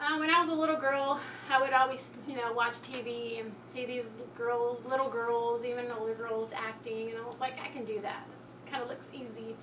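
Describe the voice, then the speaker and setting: A woman with an American accent speaks at a high pitch and a moderate pace. Her intonation is fairly even, and there is noticeable background noise. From Texas. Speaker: model and actress. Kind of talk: casual talk to camera. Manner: hesitant, many fillers.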